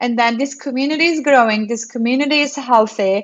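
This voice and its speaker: A woman with a Turkish accent speaks at a high pitch with ordinary pitch variation. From Turkey. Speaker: developer relations program manager. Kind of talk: interview.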